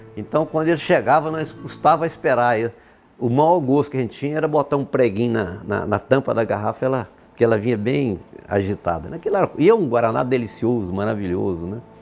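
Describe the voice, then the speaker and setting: Lively in his intonation, a man speaks at a fairly quick pace with a medium pitch. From Brazil, Goiás (Bela Vista de Goiás). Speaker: industrialist telling his life story. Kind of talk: oral history interview. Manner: halting, many repetitions.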